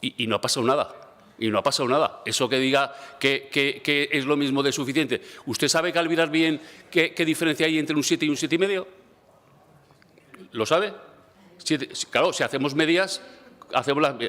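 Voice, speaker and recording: A man speaks at a fairly quick pace in a fairly high, bright, sharp voice with ordinary pitch variation. He takes long, frequent pauses. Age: 60s. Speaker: regional education minister. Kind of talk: parliamentary debate. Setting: parliament chamber. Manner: halting, many fillers and repetitions; calm.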